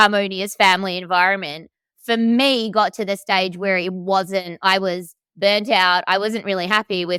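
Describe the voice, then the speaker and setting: An animated tone comes at a moderate pace. The sound is dry and close with no echo, on a very clean recording with a silent background. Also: woman. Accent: Australian. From Australia, Melbourne. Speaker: coach. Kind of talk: casual chat.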